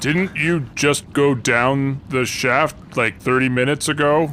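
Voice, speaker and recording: A man uses a put-on character voice at a medium pitch and a fairly slow pace. Clear background noise can be heard. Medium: actual play. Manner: hesitant, stammering.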